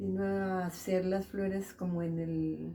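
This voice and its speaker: A woman speaks very slowly at a medium pitch. Her intonation stays monotone and flat. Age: 80s+. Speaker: elderly local resident, seamstress. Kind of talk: interview, personal life story. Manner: halting, many fillers.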